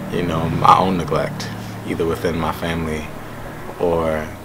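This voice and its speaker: In an American accent, a man speaks at a very deep, low pitch with monotone, flat intonation. Audible room echo and noticeable background noise come through as well. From Jamaica, Queens, New York. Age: 20s. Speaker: poet. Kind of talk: interview.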